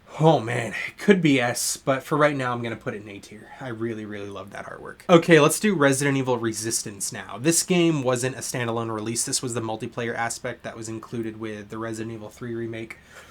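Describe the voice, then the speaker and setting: The speech runs at a very fast pace with hardly any pauses and big swings in loudness, over noticeable background noise. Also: man, medium pitch for a man, ordinary pitch variation. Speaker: gaming YouTuber. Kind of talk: tier list review monologue. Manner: stuttering; casual, filler-heavy.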